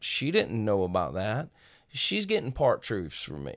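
A man with a Southern US accent at a fairly slow pace, on a very clean recording with a silent background. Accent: Southern US (Georgia). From small-town Georgia. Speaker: pastor and former gang leader. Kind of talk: testimony.

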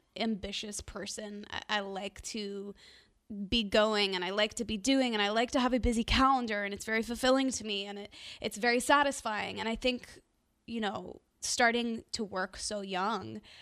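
A woman with an American accent and a plain, everyday voice, fairly high in pitch, moderate in pace, with fairly even intonation. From US South, Nashville. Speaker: singer. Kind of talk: casual chat.

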